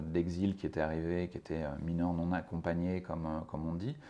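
In a monotone with flat intonation, a man speaks with a very deep, low pitch and a dark, mellow tone. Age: 40s. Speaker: spokesperson for a social-sector organisation. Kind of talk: interview. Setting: organisation's offices. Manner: halting, many repetitions and fillers.

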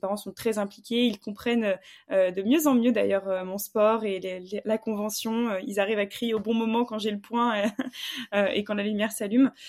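Fairly high in pitch, a woman has an unremarkable speaking voice. She keeps a moderate pace and fairly even intonation. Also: very clean recording, silent background. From southwestern France, Bordeaux. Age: 20s. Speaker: fencer and entrepreneur. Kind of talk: casual interview.

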